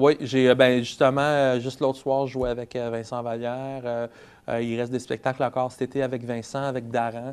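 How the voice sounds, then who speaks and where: Against a quiet background, a man speaks at medium pitch and a moderate pace in a monotone, flat intonation. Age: 30s. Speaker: singer-songwriter. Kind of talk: interview. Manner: halting.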